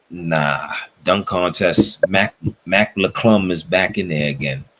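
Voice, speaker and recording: A man's very deep, low voice with a New York accent, very slow pace and ordinary pitch variation. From New York, the Bronx. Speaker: sports podcast host. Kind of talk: casual chat.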